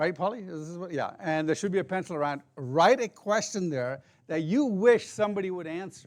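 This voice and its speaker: A loud man's voice, high-pitched for a man, with lively intonation over a quiet background. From Indian heritage, raised in many countries. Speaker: apologetics speaker. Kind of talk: seminar talk.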